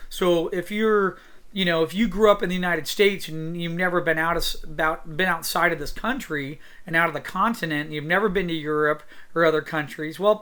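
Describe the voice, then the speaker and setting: Loud and bright with a sharp tone, the speech comes in an American accent at a fairly quick pace with fairly even intonation, on a very clean recording with a silent background. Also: man, high pitch for a man. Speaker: art teacher. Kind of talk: tutorial. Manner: loud, projecting.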